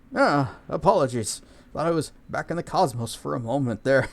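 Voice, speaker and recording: Putting on a wheezy character voice, a man speaks at a moderate pace in a medium pitch with ordinary pitch variation. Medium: game stream.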